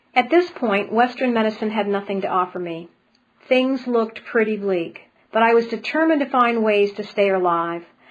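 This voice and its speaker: Medium pitch and ordinary pitch variation at a moderate pace, from a woman with an unremarkable speaking voice. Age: 60s. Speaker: spiritual healer and speaker. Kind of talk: webinar presentation.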